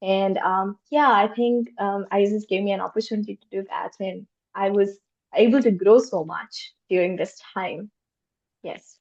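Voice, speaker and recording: This woman's medium-pitched voice moves at a moderate pace with ordinary pitch variation and big swings in loudness. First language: not English. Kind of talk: panel discussion. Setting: virtual roundtable.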